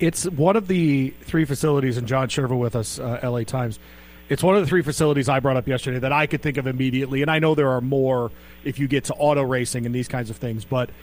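A man talks at a very fast pace. His voice sits at medium pitch with ordinary variation. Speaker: sports radio host. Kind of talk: casual radio talk.

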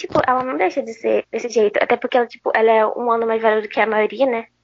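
In an ordinary speaking voice, a woman talks at a fairly high pitch with ordinary pitch variation. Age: young. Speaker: podcast co-host. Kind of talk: casual chat.

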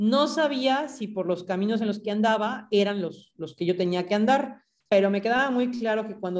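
A woman uses a normal speaking voice at a fairly high pitch, with ordinary pitch variation and a moderate pace. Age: 30s. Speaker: graphic designer and social project co-founder. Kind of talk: interview conversation.

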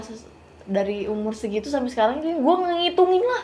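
A woman's pitch swings very widely as she talks at a moderate pace over noticeable background noise. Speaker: social media influencer. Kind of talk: casual chat.

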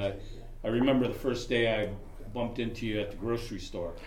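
A man with an American accent talks with fairly even intonation in a space with audible room echo. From Chicago. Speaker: student graduating from a blindness program. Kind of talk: casual group chat.

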